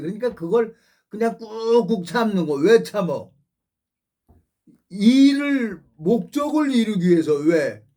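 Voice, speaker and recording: Fairly slow speech comes from a man with a high pitch. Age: 60s. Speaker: pastor. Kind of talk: sermon. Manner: rambling conversational preaching.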